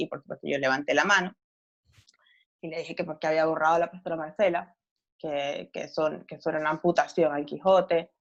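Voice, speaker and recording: A woman talks very fast in a strong Venezuelan accent. Her pitch is fairly low. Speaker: novelist and journalist. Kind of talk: interview. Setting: podcast recording.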